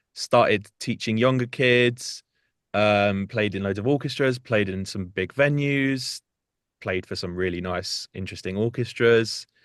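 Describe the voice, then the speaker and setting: Against a quiet background, a man with a British accent speaks fairly slowly at a fairly low pitch. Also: ordinary pitch variation. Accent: UK. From South Hertfordshire, near North London. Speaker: singer and musician. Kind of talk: interview chat. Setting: studio.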